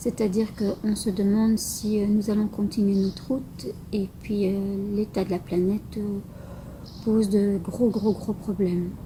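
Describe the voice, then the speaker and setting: There is noticeable background noise behind this woman. She speaks at a fairly slow pace with monotone, flat intonation. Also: medium pitch for a woman. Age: 50s. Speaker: local election candidate. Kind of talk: campaign statement. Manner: halting, with many hesitations.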